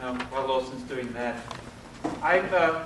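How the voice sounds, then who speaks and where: The speech moves at a moderate pace amid audible room echo and noticeable background noise. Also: man. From Australia. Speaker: architect. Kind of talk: lecture. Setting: lecture hall with audience.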